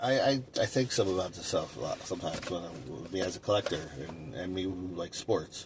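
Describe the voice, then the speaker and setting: A man's very deep, low voice, fairly quick, with lively intonation and big swings in loudness. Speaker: sports card collector YouTuber. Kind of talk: casual monologue. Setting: in a car. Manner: halting, many fillers.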